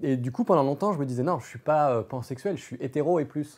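In a dark, mellow tone, a man speaks at a fairly quick pace. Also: quiet background. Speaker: podcast guest. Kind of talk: casual chat. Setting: studio. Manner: halting, many hesitations. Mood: reflective, thoughtful. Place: studio. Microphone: lapel.

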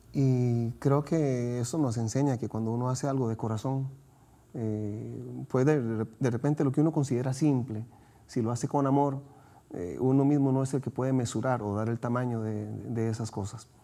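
With a dark, mellow tone, a man talks at a moderate pace in fairly even intonation. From Costa Rica. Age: 50s. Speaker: singer-songwriter; guest. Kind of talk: TV interview. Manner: hesitant, many fillers. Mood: calm, reflective. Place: studio. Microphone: lapel.

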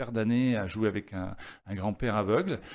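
This man speaks at a fairly low pitch with fairly even intonation. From southern France (Var, Toulon area); southern France. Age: 50s. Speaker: chessboard maker; guest. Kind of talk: interview. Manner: hesitant, many fillers and repetitions. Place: studio. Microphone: studio mic.

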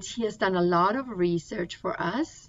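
A woman with an Austrian accent talks at a fairly slow pace with lively intonation. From Austria, Vienna. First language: German. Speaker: iridologist and herbalist. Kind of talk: conference presentation. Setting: recorded for virtual conference. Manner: enthusiastic. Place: home room. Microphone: webcam.

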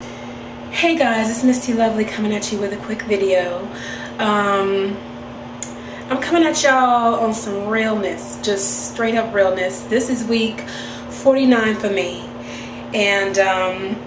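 Someone speaks at a fairly slow pace over noticeable background noise. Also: woman. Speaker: weight loss vlogger. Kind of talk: casual vlog chat. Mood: warm, candid. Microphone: phone near.

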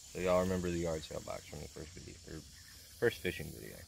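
There's noticeable background noise behind this man's very deep, low voice, and the sound is dry with no echo. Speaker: fishing vlogger. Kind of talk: casual vlog chat. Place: waterside. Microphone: phone near.

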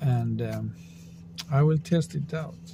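A somewhat breathy, dark and mellow tone with very wide pitch swings and noticeable background noise. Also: man, dry sound with no echo. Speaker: vlogger. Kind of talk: casual vlog chat. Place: car. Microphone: phone near.

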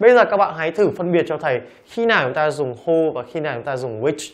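A man with a plain, everyday voice speaks at a fairly high pitch with lively intonation. The background is quiet. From Vietnam. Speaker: English teacher. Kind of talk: lecture. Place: studio.

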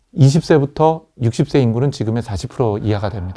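A man speaks at a moderate pace in a dark, mellow tone. His pitch swings very widely over a quiet background. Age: 50s. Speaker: AI company CEO. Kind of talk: interview.

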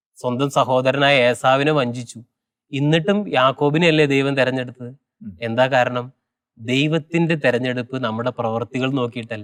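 A man with an unremarkable speaking voice and fairly even intonation. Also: medium pitch for a man. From Kerala, Palakkad district, raised near Chalakudy. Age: 30s. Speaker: lay preacher. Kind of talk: testimony interview.

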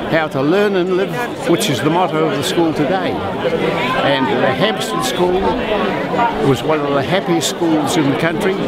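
The sound is dry with no echo, but loud background noise is present. A man speaks at a fairly slow pace. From New Zealand. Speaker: former pupil at school reunion. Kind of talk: interview answer. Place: street. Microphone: phone near.

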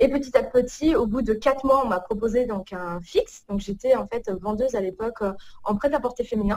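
An ordinary speaking voice from a woman, fairly high in pitch, with ordinary pitch variation, a moderate pace and a quiet background. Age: 30s. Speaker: organization coach. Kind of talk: casual interview. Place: home room. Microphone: video call.

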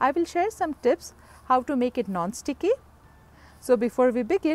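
With light background noise and a dry sound with no echo, a woman speaks in a high pitch with very wide pitch swings. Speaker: cooking vlogger. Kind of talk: casual vlog chat. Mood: cheerful, warm. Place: garden. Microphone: earbuds.

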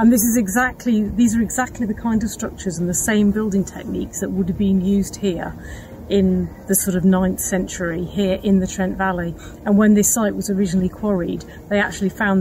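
A woman talks fairly quickly in a monotone, flat delivery. The sound is dry with no echo, with light noise behind her. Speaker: nature reserve guide. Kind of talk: guided tour explanation to camera. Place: open country. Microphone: lapel.

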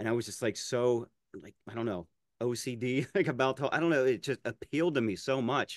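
A plain, everyday voice with an American accent speaks at a moderate pace with ordinary pitch variation. The sound is dry with no echo, over a quiet background. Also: man, medium pitch for a man. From western Pennsylvania. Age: 40s. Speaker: music teacher and mashup creator. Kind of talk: casual interview. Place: home room. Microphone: webcam.

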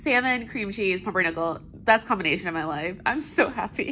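Against light background noise, a woman speaks at a moderate pace. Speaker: travel vlogger. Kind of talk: casual vlog chat. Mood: cheerful, laughing. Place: home room. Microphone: phone near.

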